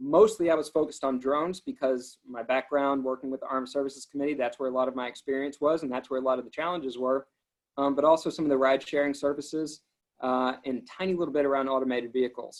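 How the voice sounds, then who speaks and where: The speaker has a slight Alabama accent and a very fast pace. Intonation stays fairly even. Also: man, fairly high pitch for a man. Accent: faint coastal Alabama. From Alabama coast, US South. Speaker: government transportation policy official. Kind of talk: interview.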